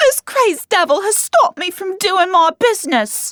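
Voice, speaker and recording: Using a put-on character voice, a woman speaks at an extremely high, squeaky pitch with very wide pitch swings, in a dry, close sound with no echo. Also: moderate pace. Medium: read story. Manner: shrill, shrieking.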